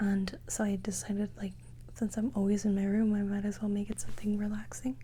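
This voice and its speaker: A soft-spoken woman's whispering. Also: fairly quick pace. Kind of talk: casual talk to camera. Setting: bedroom, room tour. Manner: soft-spoken, chatty, whispery.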